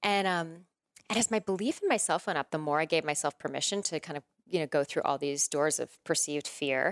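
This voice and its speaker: A woman with an ordinary speaking voice talks at a fairly quick pace, with a fairly low pitch and ordinary pitch variation. The sound is dry and close with no echo, on a very clean recording with a silent background. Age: 40s. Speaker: women's coach and yoga teacher. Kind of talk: interview conversation.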